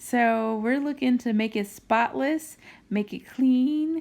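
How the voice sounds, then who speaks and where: The speaker has an American accent and a calm tone, talking at a fairly slow pace with lively intonation. The recording is very clean, with a silent background. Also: woman. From US Midwest, Gary, Indiana. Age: 30s. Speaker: cleaning vlogger. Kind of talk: casual vlog narration.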